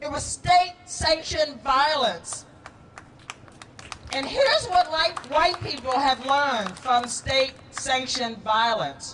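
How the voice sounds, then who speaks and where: A woman's high-pitched voice with lively intonation at a very slow pace, amid noticeable background noise. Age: 60s. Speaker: city councilor. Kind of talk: public speech at a rally.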